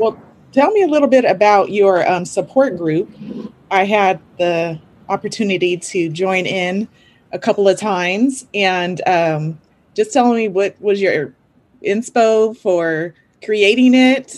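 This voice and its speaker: Using a plain, everyday voice, a woman speaks at a fairly slow pace with medium pitch and ordinary pitch variation. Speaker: podcast host and IEP coach. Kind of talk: casual interview chat.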